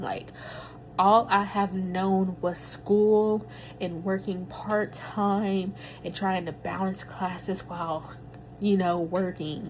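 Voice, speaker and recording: Medium pitch from a woman, with fairly even intonation. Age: 30s. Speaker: podcaster, new doctoral graduate. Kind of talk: personal audio journal, casual reflection. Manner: casual, filler-heavy.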